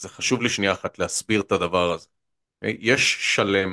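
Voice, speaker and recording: A man's fairly low voice with a bright, sharp tone at a fairly slow pace, dry and close with no echo, against a quiet background. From central Israel. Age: 30s. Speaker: political economy commentator. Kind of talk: interview. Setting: studio. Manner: energetic; frequent fillers and repetitions.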